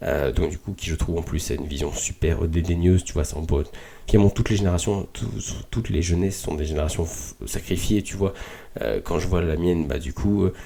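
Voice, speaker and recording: A man with a very deep, low pitch and a dark, mellow tone sounds somewhat breathy, with ordinary pitch variation. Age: 20s. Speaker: podcast host. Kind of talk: casual reflective monologue. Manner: halting with many fillers.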